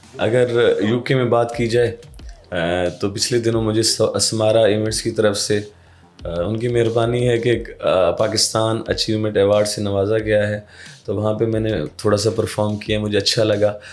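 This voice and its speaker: A man's medium-pitched voice in a flat monotone. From Mianwali, Pakistan. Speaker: folk singer. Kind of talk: interview answer.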